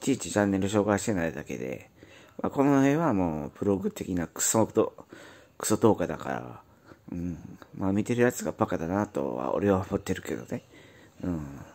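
At a moderate pace, a man talks in a very deep, low voice with very wide pitch swings. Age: 40s. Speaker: YouTuber, factory worker. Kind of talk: casual monologue vlog. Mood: weary, cynical. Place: home room. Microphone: phone near.

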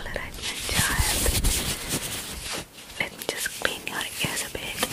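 Whispering softly, a woman is heard. Her delivery comes at a fairly slow pace. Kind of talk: ASMR role-play talk to viewer. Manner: soft, close-mic ASMR murmur. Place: home room. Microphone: handheld.

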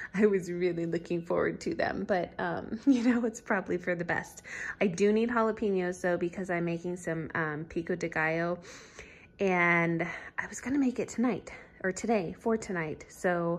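Her fairly low pitch and moderate pace mark this woman's ordinary speaking voice. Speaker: stay-at-home parent vlogger. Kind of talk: casual vlog chat. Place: home room. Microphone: phone near.

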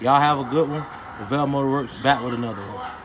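Rushing at a very fast pace, a man speaks in a monotone, flat intonation amid noticeable background noise. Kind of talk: casual explanatory commentary. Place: garage. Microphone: phone near.

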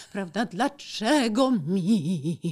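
Against a quiet background, a somewhat breathy woman's voice swings very widely in pitch. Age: 40s. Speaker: foundation president and businesswoman; podcast guest. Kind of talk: interview. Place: studio. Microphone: studio mic.

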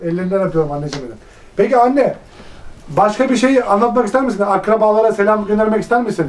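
A man's high-pitched voice races along very quickly, its pitch varying in an ordinary way. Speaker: interviewer. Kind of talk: interview question. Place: home room.

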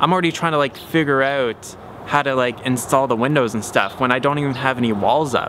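Light background noise sits behind a man talking at a fairly quick pace. His pitch variation is ordinary. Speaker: DIY builder vlogger. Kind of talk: casual vlog chat. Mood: reflective, slightly stressed. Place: garden. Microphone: phone near.

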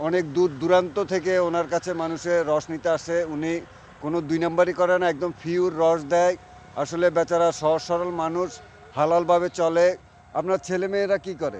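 A high-pitched man in a monotone, flat intonation, over noticeable background noise. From Bangladesh, Lakshmipur district. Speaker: video blogger. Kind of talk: vlog interview.

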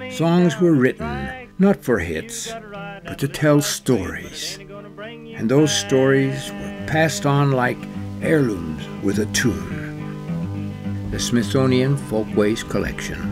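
A man speaks at a very slow pace with hardly any pauses. Music plays in the background. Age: old. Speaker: voice-over performer in a commercial. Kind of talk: TV commercial voice-over.

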